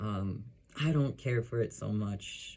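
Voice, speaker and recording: A man mumbles at a very slow pace, his pitch fairly low. His voice is somewhat breathy, with a dark, mellow tone. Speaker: illustrator. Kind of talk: casual talk to camera. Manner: mumbly.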